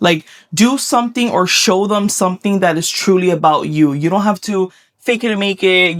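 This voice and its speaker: A woman with a Miami accent speaks at a medium pitch in a very clean, dry, close recording with no echo and a silent background. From Miami, Florida. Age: 30s. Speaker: vlogger. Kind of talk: casual vlog Q&A. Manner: animated.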